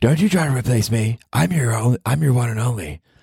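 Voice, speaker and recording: A raspy put-on character voice from a man, medium in pitch, with lively intonation at a moderate pace. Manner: mean, fake-angry.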